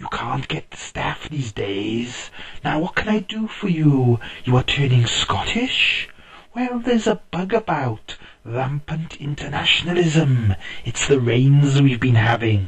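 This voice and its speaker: A man speaks in a put-on character voice at a fairly high pitch. His pitch swings very widely at a fairly slow pace. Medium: read story. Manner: relaxed, chuckling.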